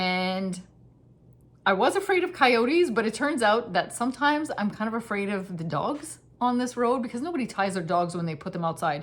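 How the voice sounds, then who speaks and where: A woman speaks at a fairly quick pace, her fairly high voice swinging very widely in pitch. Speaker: knitting podcaster. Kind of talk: casual chat. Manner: fast.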